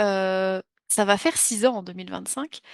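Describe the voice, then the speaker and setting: A woman talks at a fairly slow pace and medium pitch with ordinary pitch variation, in a dry, close sound with no echo against a quiet background. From France. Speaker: French teacher. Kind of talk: online class introduction. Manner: hesitant, many fillers.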